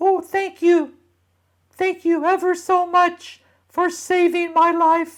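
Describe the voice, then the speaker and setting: In a put-on character voice, the speaker sounds squeaky, with extremely high pitch, a monotone, flat intonation and a very slow pace. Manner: grateful.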